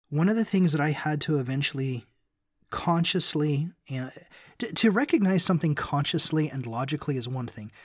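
With an American accent, a man speaks at a fairly quick pace in a somewhat breathy, fairly high voice with ordinary pitch variation, on a very clean recording with a silent background. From US South, Memphis, Tennessee. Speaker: guest co-host on a faith podcast. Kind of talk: casual religious discussion.

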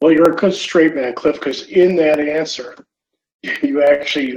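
A man with an American accent talks at a moderate pace, his intonation fairly even. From New York. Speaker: podcast host and reliability trainer. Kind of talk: interview.

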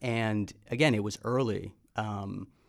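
In an ordinary speaking voice with an American accent, the speaker keeps a fairly even intonation on a very clean recording with a silent background. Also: man. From US Midwest, Chicago. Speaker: media executive. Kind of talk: casual interview. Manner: frequent fillers and repetitions.

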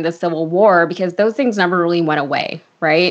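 With an American accent and a normal speaking voice, a woman speaks at a moderate pace and a fairly low pitch. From Connecticut. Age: 30s. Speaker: political commentator. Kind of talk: casual political discussion.

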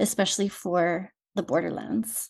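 A woman with a dark, mellow tone and an American accent, at a fairly slow pace against a quiet background. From rural southern Arizona. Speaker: podcast host. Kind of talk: interview.

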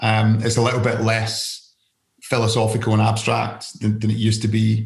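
Delivery comes at a moderate pace in a Scottish accent. The voice sounds somewhat breathy. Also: man. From Scotland. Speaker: investment fund founder and author. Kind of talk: casual interview.

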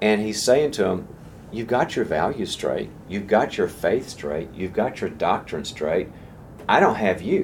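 Speaking at a fairly slow pace, a man's voice carries audible room echo. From US South. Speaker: leadership teacher. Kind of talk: lecture.

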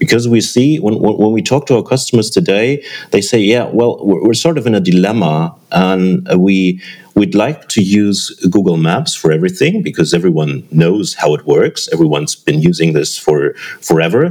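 Loudness stays very even at a moderate pace. The pitch swings very widely. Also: man, fairly low pitch for a man. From Germany. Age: 40s. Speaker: tech startup co-founder. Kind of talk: interview.

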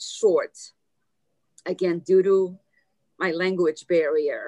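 At a very slow pace, a woman speaks with lively intonation. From Soviet Union, Armenian family. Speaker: businesswoman, speaker and author. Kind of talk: interview.

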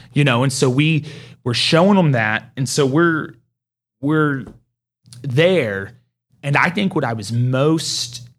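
Over music in the background, a man with an American accent speaks at medium pitch with lively intonation. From Oklahoma, Mustang. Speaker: home builder. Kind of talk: casual interview.

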